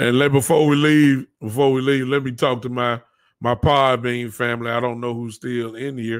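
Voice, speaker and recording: This man speaks with a Southern US accent in a monotone, flat delivery at a moderate pace. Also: medium pitch for a man. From US South. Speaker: podcast host. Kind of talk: casual chat.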